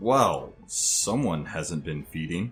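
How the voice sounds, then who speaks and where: A man puts on a character voice, pitched fairly low, with lively intonation. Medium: audio drama. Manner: cold, taunting.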